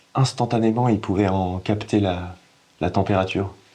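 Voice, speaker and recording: Noticeable background noise sits behind this man. His pitch is fairly low and his pace moderate. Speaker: actor. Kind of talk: acting demo monologue, dramatic performance of a scene. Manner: halting, hesitant with many pauses and restarts, emotional.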